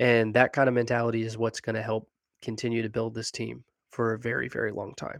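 A man speaks at a very fast pace in a medium pitch, his intonation monotone and flat. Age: 20s. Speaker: sports podcast co-host. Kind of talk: casual chat.

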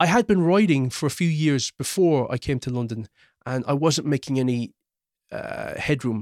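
Speaking with a Cork accent, a man uses lively intonation at a fairly high pitch and a moderate pace. The sound is dry and close with no echo, and the recording is very clean with a silent background. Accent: Irish (Cork). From Ireland (Cork). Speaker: screenwriter. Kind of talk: personal storytelling interview.

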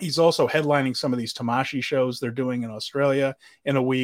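Flat, monotone delivery at a fairly quick pace. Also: man. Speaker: wrestling podcast host. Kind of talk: casual chat, show discussion.

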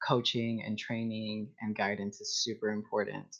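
Here a man with an American accent speaks at a medium pitch in an ordinary speaking voice. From Texas. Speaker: community organizer. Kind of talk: casual interview.

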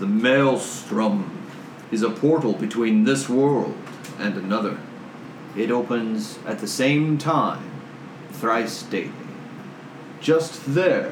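Using a put-on character voice, a man at medium pitch speaks very slowly in a resonant tone, with long, frequent pauses and clear background noise. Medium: actual play. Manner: solemn, formal, grave.

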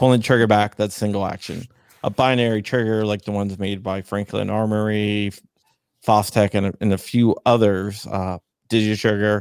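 In an American accent, a man with a fairly low pitch speaks at a moderate pace in a flat monotone, recorded very cleanly, dry and close with no echo against a silent background. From Northern Virginia, Arlington. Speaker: gun rights advocate. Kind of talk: casual interview.

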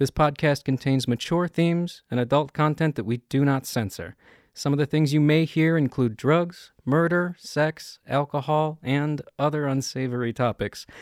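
Recorded very cleanly with a silent background, a man in an ordinary speaking voice talks at a moderate pace and very even loudness, his fairly high pitch showing ordinary variation. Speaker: tabletop roleplaying game player. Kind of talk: actual play roleplaying game session.

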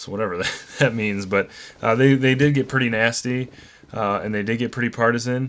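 A man with an American accent speaks in an unremarkable speaking voice at a medium pitch and fairly quick pace, his intonation fairly even. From northern Illinois. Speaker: podcast host. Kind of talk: casual chat.

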